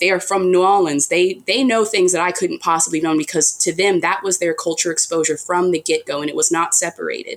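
The woman has an ordinary speaking voice with a fairly low pitch. Her pitch variation is ordinary. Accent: American. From United States. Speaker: author. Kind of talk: interview.

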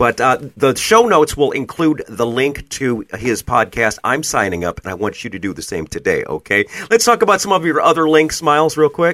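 A man with a fairly high pitch, vocal fry and very wide pitch swings, at a moderate pace with hardly any pauses, in a dry, close sound with no echo. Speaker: podcast host. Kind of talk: casual interview.

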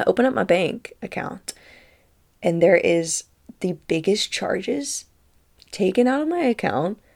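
A woman speaks with lively intonation and some vocal fry on a very clean recording with a silent background. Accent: American. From Tennessee. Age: 30s. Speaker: spiritual podcast host. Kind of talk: casual storytelling monologue; guided breathwork. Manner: animated.

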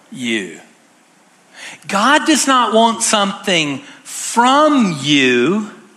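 A very slow pace over noticeable background noise. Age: 50s. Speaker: pastor. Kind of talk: sermon. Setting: church.

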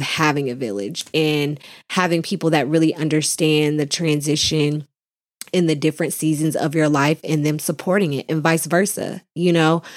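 In a very clean recording with a silent background, a woman with a very deep, low voice speaks at a moderate pace in an animated tone, with ordinary pitch variation. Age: 30s. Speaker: podcast host. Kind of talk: solo motivational talk.

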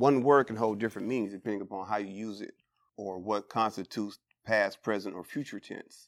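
On a very clean recording with a silent background, a man with an American accent and an unremarkable speaking voice talks at a fairly quick pace and a fairly low pitch, with fairly even intonation and big swings in loudness. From San Francisco Bay Area, California. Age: 40s. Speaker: formerly incarcerated reentry mentor. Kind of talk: interview testimony.

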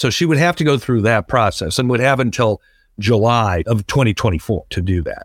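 Using an ordinary speaking voice, a man talks at medium pitch and a fairly quick pace with lively intonation. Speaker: political analyst. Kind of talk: interview. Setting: remote call.

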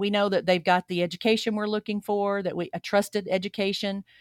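This woman talks with a Southern US accent. Her pitch sits in the medium range. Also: dry, close sound with no echo, very clean recording, silent background. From Alabama, US South. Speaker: church executive minister. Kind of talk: casual interview chat.

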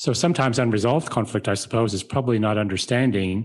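Against a quiet background, a man with an American accent talks at a fairly quick pace, his medium pitch showing ordinary variation. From United States. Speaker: podcast co-host. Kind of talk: podcast interview.

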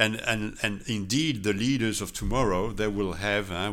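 In a room with audible echo, a man with a French accent talks at a moderate pace and a fairly low pitch, with a bright, sharp tone and fairly even intonation. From France, Strasbourg. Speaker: intercultural trainer and consultant. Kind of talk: interview. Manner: hesitant, many fillers.

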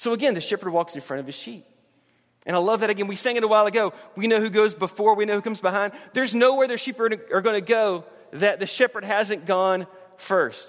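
A man speaks with a Southern US accent and a warm tone, his pitch high for a man. He talks very fast, with ordinary pitch variation. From US South, Alabama. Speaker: pastor. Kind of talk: sermon. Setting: church. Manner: informal, humorous, warm.

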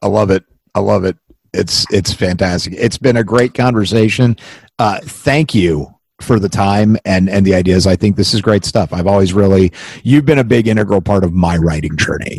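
A man speaks in an unremarkable speaking voice at a fairly low pitch and a moderate pace. His loudness stays very even, his pitch varies in an ordinary way, and the sound is dry and close with no echo. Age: 40s. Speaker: podcast host and writer. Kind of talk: casual interview; scripted intro.

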